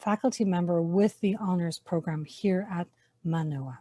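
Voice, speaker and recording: A woman with an Irish accent, somewhat breathy with a dark, mellow tone, at a moderate pace and ordinary pitch variation, in a dry, close sound with no echo. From Ireland. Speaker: university honors program faculty member. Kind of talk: webinar presentation. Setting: online webinar.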